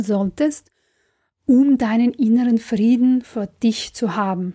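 Very slowly and with a non-native accent, a woman speaks at a fairly high pitch in a dark, mellow tone with ordinary pitch variation, on a very clean recording with a silent background. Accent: foreign accent in German. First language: not German (speaking German). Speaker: creativity and career coach. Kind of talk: motivational podcast monologue.

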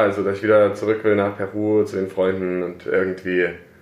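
With audible room echo, a man speaks at a moderate pace in a fairly low voice with monotone, flat intonation. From Saxony, Germany (Plauen). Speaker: coffee importer, company co-founder. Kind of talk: casual interview. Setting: office.

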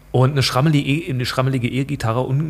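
A somewhat breathy male voice at a medium pitch. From Saxony-Anhalt, eastern Germany. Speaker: politician and works council chair. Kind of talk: casual interview. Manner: halting, many fillers.

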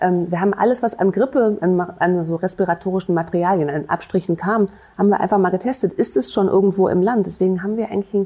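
A woman talking very fast at a medium pitch. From Rhineland, Germany (Bonn). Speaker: infectious disease physician and professor. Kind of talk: interview. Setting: city hall studio. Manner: hesitant, many fillers.

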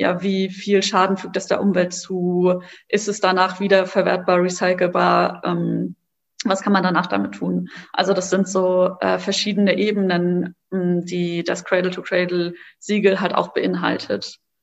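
Speaking at a fairly slow pace, a woman holds a medium pitch with monotone, flat intonation. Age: 20s. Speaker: social entrepreneur, co-founder of a card game startup. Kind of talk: interview. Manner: hesitant, many filler words.

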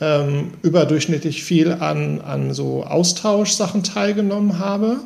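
A man's ordinary speaking voice, fairly high in pitch, at a fairly slow pace. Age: 40s. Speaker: manager and person with MS. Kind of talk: interview. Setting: remote call.

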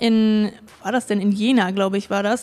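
A woman with an ordinary speaking voice talks at a moderate pace, her fairly high pitch carried in fairly even intonation. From Germany, Hamburg. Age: 20s. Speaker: pediatric nurse and amateur boulderer. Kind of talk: interview, casual personal account. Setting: recorded in Hamburg.

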